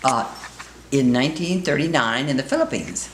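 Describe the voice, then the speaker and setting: Noticeable background noise is present. Through it, a woman talks with an American accent. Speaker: retired real estate broker. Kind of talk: interview answer.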